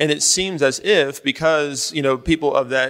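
An unremarkable speaking voice at a moderate pace, with ordinary pitch variation, on a very clean recording against a silent background. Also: man. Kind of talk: panel discussion. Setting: stage with audience.

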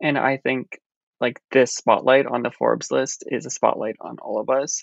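A normal speaking voice at a fairly slow pace. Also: man. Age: 20s. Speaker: food writer and cookbook author. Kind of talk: interview.

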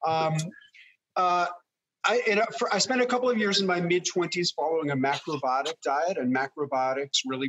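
A plain, everyday voice from a man with an American accent, fairly high in pitch, with lively intonation at a moderate pace. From New York City. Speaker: fermentation author and teacher. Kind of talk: casual interview. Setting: video call.

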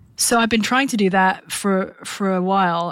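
A woman speaks with a British accent. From UK. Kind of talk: podcast interview.

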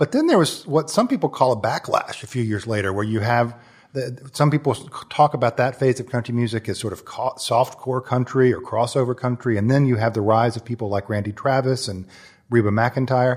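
A somewhat breathy man at a fairly quick pace, fairly even in intonation, over a quiet background. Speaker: magazine editor and podcast host. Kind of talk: interview, host intro. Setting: taping in a high-rise apartment building.

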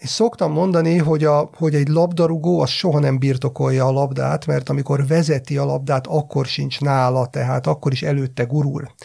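Fairly quick, with hardly any pauses, a dark, mellow, somewhat breathy tone and fairly even intonation. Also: man, fairly high pitch for a man. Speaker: sports psychologist. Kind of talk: podcast discussion. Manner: halting.

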